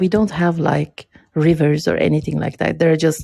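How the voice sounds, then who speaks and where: A woman is speaking. She has a non-native accent. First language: not English. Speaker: podcast guest. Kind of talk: casual chat. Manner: hesitant, many fillers.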